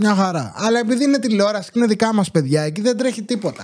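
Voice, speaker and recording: A man speaks at a high pitch with an animated tone. His intonation is lively, and the background is quiet. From Greece. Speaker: YouTuber commentator. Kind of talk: casual monologue commentary. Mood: sarcastic, indignant. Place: home room. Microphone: studio mic.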